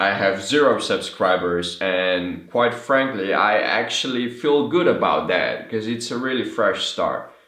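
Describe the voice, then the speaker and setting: Heard with audible room echo, a man with a Slovene accent speaks at a fairly slow pace in a medium pitch. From Slovenia. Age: 20s. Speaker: vlogger. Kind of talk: casual vlog monologue. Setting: talking to camera. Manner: halting.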